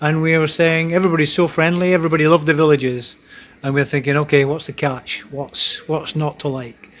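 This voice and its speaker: Speaking with a Scottish accent at a fairly quick pace, a man keeps a fairly high pitch in a monotone, flat intonation. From Scotland. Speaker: military serviceman, future retiree. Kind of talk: casual chat. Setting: group gathering on a cruise ship.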